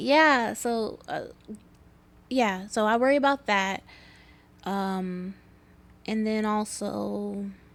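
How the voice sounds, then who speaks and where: On a very clean recording with a silent background, a woman with a fairly high pitch talks at a very slow pace, leaving long, frequent pauses. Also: ordinary pitch variation. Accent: American. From Houston, Texas. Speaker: stand-up comedian. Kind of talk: interview answer.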